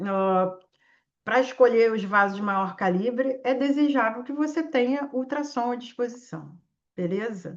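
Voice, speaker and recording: In a Carioca accent, a woman speaks at a fairly slow pace and a high pitch with lively intonation. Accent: Carioca (Rio de Janeiro). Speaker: intensive care physician and teacher. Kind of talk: live online exam-prep class with case discussion. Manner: animated.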